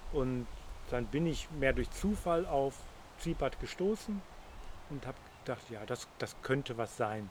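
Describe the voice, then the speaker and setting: A man with a fairly high pitch speaks at a fairly slow pace with lively intonation. He leaves long, frequent pauses. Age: 60s. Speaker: interview guest. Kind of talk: casual interview conversation. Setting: outdoors in a garden.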